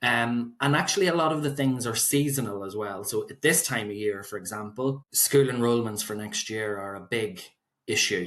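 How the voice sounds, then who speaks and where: This man speaks with a Northern Irish accent at medium pitch. He keeps a moderate pace with ordinary pitch variation. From Northern Ireland, County Fermanagh. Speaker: solicitor. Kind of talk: podcast interview.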